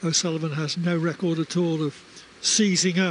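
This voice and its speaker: A man speaks with a high pitch at a moderate pace. His intonation is monotone and flat. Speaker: snooker TV commentator. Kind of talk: live commentary.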